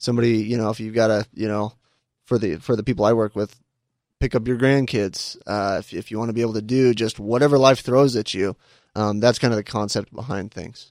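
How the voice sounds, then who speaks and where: A man with a plain, everyday voice, medium pitch and fairly even intonation, at a fairly quick pace, in dry, close sound with no echo on a very clean recording with a silent background. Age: 30s. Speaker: fitness coach. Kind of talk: casual interview. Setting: studio.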